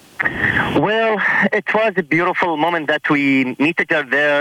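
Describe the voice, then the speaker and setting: Noticeable background noise surrounds a man speaking at a fairly slow pace, with ordinary pitch variation and a dry, close sound with no echo. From Iraq. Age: 20s. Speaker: church friend. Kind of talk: casual chat. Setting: phone call.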